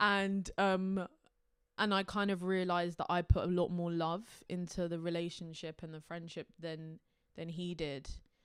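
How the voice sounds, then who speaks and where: A woman with a South London accent, fairly low in pitch, monotone and flat, at a moderate pace with big swings in loudness, in a very clean recording with a silent background. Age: young. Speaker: singer-songwriter. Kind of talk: interview monologue. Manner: hesitant, many fillers.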